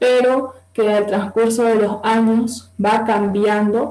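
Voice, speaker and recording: Audible room echo surrounds a woman's fairly high-pitched voice. She speaks at a very slow pace with monotone, flat intonation. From Bolivia, Santa Cruz. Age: 20s. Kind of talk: interview talk.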